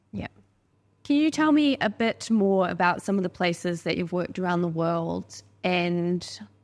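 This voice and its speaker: Her accent is New Zealand. The woman's intonation is lively. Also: fairly low pitch for a woman, moderate pace. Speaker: podcast host. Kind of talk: podcast interview.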